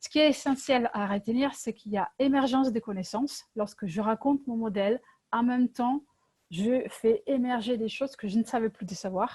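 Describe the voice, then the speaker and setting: Recorded dry and close with no echo, a woman has a dark, mellow tone and a fairly high pitch. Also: ordinary pitch variation, moderate pace. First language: Italian (speaking French). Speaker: LEGO workshop facilitator. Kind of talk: presentation. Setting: video call. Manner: hesitant, many fillers.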